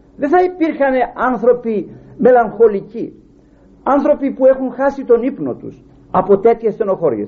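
A man is speaking. He goes at a fairly slow pace. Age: 60s. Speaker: preacher. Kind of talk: sermon.

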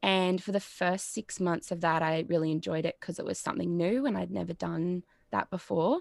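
A woman with an Australian accent speaks at a moderate pace, fairly low in pitch and with ordinary pitch variation. The sound is dry and close with no echo, in a very clean recording over a silent background. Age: 20s. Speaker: psychology student. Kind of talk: casual chat.

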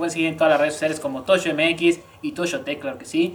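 Noticeable background noise sits behind a woman with a Mexican accent. She talks at a very fast pace in a fairly low voice with ordinary pitch variation. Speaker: podcast host. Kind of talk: casual chat.

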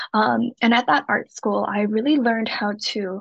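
The speaker has vocal fry and talks at a moderate pace. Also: woman. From Shanghai, China. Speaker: illustrator and author. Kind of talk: casual interview chat.

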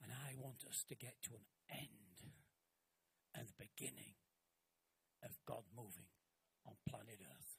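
A man's fairly low voice with vocal fry, lively intonation, a fairly slow pace and long, frequent pauses. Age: 70s. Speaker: pastor. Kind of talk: sermon. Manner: animated.

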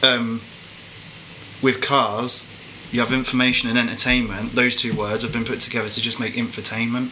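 Over noticeable background noise, a man with an English accent speaks at a moderate pace with long, frequent pauses. His medium-pitched voice stays in a flat monotone. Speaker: podcast co-host. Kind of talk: casual chat.

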